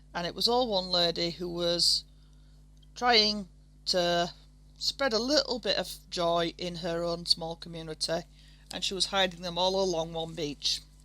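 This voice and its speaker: The speaker talks in a Yorkshire accent with a bright, sharp tone at a fairly slow pace. Long, frequent pauses come throughout. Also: woman, fairly low pitch for a woman, ordinary pitch variation. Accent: broad Yorkshire. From Yorkshire, northern England. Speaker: art tutorial creator. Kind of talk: tutorial. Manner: casual, somewhat halting.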